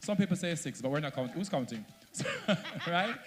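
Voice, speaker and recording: A man talks with a Jamaican accent. Music plays in the background. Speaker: social media content creator. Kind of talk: panel talk at a launch event.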